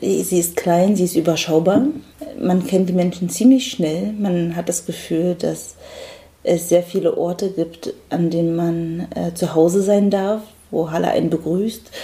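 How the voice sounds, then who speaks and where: Very slow speech from a woman with fairly low pitch, with noticeable background noise. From Germany, Berlin. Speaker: painter. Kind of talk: interview.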